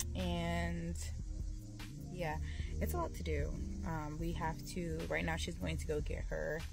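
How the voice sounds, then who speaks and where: A woman with an American accent speaks at a fairly slow pace, leaving long, frequent pauses. Clear music plays in the background, and the sound is dry with no echo. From Washington DC metro area. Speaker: entrepreneur and cosmetics chemistry student. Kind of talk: casual vlog talk to camera. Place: car. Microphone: phone near.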